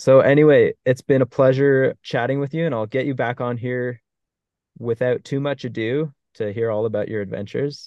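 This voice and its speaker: Speaking with a plain, everyday voice, a man keeps a moderate pace, medium pitch and fairly even intonation. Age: 20s. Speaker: podcast host. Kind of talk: casual chat.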